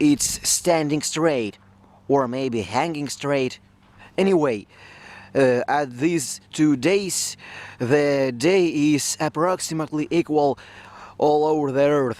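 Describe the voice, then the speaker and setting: The speaker has a non-native accent and talks very slowly. Pauses are long and frequent. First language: not English. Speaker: video blogger. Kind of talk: explainer monologue. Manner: halting, with fillers.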